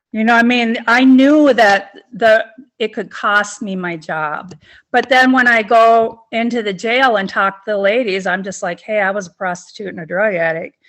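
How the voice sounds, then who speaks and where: An ordinary speaking voice: a woman with an American accent, fairly high in pitch, with ordinary pitch variation and a moderate pace. The recording is very clean, with a silent background. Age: 60s. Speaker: person in recovery. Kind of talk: interview testimony.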